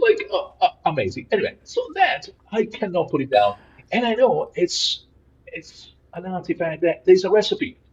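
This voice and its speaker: This man has an Italian accent and a moderate pace. His loudness swings widely. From Italy. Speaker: philosopher and professor. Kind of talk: podcast interview.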